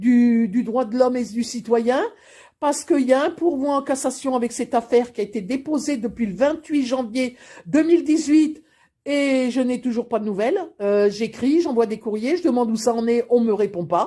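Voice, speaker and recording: A woman talks with a dark, mellow tone. Her pitch sits high. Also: ordinary pitch variation, moderate pace, very clean recording, silent background. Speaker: grandmother giving testimony. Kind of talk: personal testimony to camera.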